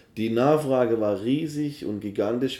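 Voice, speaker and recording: Using a normal speaking voice, a man keeps a moderate pace and fairly even intonation. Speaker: event organiser and MC. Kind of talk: casual interview. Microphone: poor recording quality.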